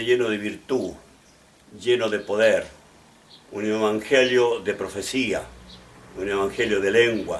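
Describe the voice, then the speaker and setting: Pausing long and often, a man with a medium pitch speaks at a fairly slow pace, with audible room echo. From Chile, Valparaíso region. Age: 80s+. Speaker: pastor and bishop. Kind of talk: testimony. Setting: at home. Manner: halting, with restarts.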